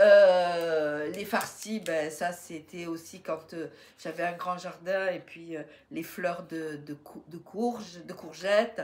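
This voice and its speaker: A woman speaks at a very slow pace with fairly even intonation. Her loudness swings widely. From southeastern France, Riviera near Menton. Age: 60s. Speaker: YouTuber, retired grandmother. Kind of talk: casual Q&A monologue. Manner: hesitant, many fillers.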